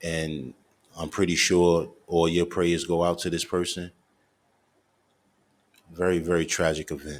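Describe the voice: Speaking low and at a fairly slow pace, a man keeps his pitch mostly level and leaves long, frequent pauses.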